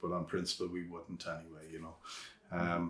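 With a western Irish accent, a man speaks in a very deep, low voice. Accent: Irish (west of Ireland). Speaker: organic vegetable farmer. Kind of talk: casual interview. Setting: outdoors on a farm.

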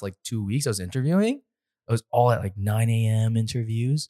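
A man speaks in an ordinary speaking voice with a Canadian accent, at medium pitch and a moderate pace. His intonation stays fairly even, and the very clean recording has a dry, close sound with no echo over a silent background. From Canada. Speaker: podcast co-host and business owner. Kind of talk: casual chat. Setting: in-person studio, sitting across from co-hosts. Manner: laughs often.

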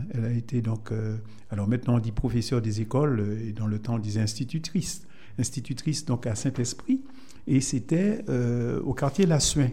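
Somewhat breathy, dark and mellow male voice at medium pitch, with ordinary pitch variation, a moderate pace and long, frequent pauses. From Martinique, Fort-de-France. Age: 70s. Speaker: Lions Club member. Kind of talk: radio interview.

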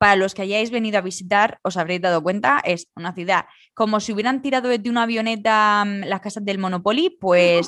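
A woman with an unremarkable speaking voice talks at a medium pitch with ordinary pitch variation against a quiet background. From Spain. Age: 30s. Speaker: podcast co-host. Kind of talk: casual chat.

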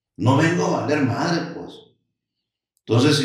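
Vocal fry runs through a man's fairly high voice, heard with audible room echo. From Sinaloa, Mexico (Los Mochis). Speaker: restaurant entrepreneur. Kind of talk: interview, casual chat. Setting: studio.

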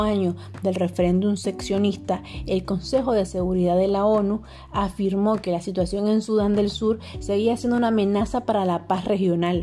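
An ordinary speaking voice from a woman, medium in pitch, with very even loudness, fairly even intonation and a moderate pace. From Nicaragua. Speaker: student podcast host. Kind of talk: scripted explanatory talk.

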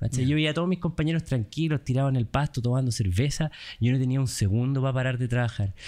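A man with a Chilean accent, a dark, mellow tone, medium pitch, very fast pace and very even loudness, on a very clean recording with a silent background. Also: ordinary pitch variation. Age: 30s. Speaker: entrepreneur, company founder. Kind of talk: casual interview.

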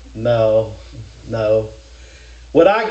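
Very wide pitch swings mark this voice with an American accent, heard with audible room echo. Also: man. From Kentucky. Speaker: preacher. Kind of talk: sermon.

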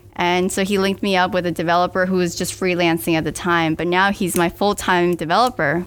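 A woman with an American accent and a normal speaking voice talks at a fairly quick pace, with medium pitch and fairly even intonation. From US South (Miami, Florida). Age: 20s. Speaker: startup founder. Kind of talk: casual interview.

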